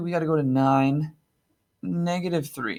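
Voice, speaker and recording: A man with a normal speaking voice talks fairly high in pitch, with ordinary pitch variation, on a very clean recording with a silent background. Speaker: math teacher. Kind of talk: tutorial. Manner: casual, upbeat.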